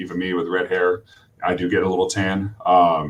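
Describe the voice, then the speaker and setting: Talking at a fairly quick pace, a man uses a very deep, low voice with monotone, flat intonation. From Vermont, New England. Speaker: college swim coach. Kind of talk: webinar interview.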